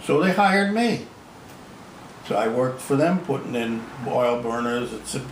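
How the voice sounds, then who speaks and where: Speaking fairly slowly with an American accent, a man is heard through audible room echo and noticeable background noise. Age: 80s+. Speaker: retired sheet metal worker. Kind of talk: casual chat. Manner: hesitant repetitions.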